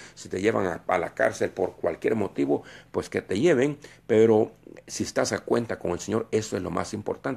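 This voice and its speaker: The voice moves at a moderate pace in a very clean recording with a silent background. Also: man. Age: 60s. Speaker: preacher. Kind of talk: sermon. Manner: halting.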